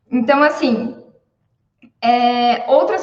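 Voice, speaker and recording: Audible room echo around a woman talking at a fairly slow pace. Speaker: civil engineer, cost estimator. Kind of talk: live stream talk, informal lecture.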